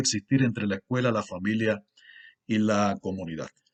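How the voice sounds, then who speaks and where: A man with a Cuban accent talks at a moderate pace, dry and close with no echo, over a quiet background. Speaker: university lecturer and researcher. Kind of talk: conference lecture. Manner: formal, with frequent fillers.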